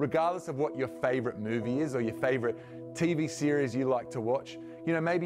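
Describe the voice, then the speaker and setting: Clear music plays in the background. A man talks at a fairly quick pace. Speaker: youth pastor. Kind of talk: sermon. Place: studio.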